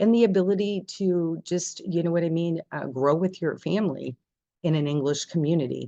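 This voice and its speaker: Pitch varies in an ordinary way while the delivery holds a moderate pace. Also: woman, fairly low pitch for a woman. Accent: Canadian Maritime. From New Brunswick, Canada. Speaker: language school president. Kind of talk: information session presentation.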